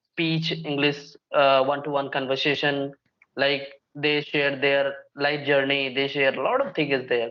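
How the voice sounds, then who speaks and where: A man with a Bihari accent, fairly high-pitched, at a fairly slow pace in a monotone, flat delivery. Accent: Indian English (Bihari). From India, Bihar. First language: Bhojpuri. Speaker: English learning YouTuber. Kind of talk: casual conversation practice.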